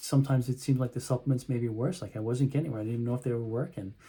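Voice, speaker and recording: Somewhat breathy and dark, mellow in tone, a man rattles along at a very fast pace with fairly even intonation. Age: 50s. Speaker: chiropractor and health coach. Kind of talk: casual educational talk to camera. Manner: conversational with frequent fillers.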